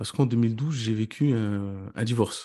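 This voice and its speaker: A dark, mellow tone at a very slow pace over a quiet background. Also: man. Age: 30s. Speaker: real estate investor and coach. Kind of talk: interview about his career story. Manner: halting, with many repetitions.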